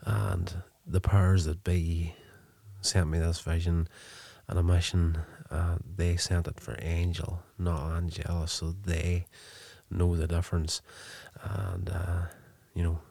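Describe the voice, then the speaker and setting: A man's somewhat breathy voice, dark and mellow at a very deep, low pitch, moves at a fairly slow pace with monotone, flat intonation and long, frequent pauses on a very clean recording with a silent background. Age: 40s. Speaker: podcast host reviewing TV episodes. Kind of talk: solo episode review and recap. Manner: casual, with frequent filler 'uh'.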